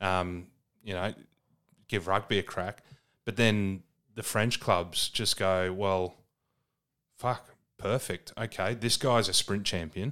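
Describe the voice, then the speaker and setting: A man with an Australian accent speaks very slowly with long, frequent pauses at a fairly low pitch, in a very clean recording with a silent background. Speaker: podcast co-host, rugby commentator. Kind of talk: casual chat.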